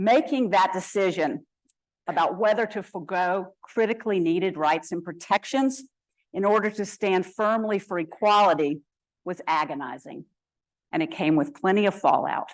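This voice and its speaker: A woman's plain, everyday voice at a medium pitch, with an American accent, lively intonation, a moderate pace and a quiet background. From US South. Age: 60s. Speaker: activist and alumna speaker. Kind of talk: prepared talk. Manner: formal.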